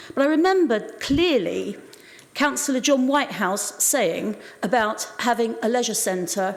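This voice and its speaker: With noticeable background noise behind her, a woman speaks at a fairly slow pace in a fairly high voice with lively intonation. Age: 70s. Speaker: local councillor. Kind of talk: council debate speech.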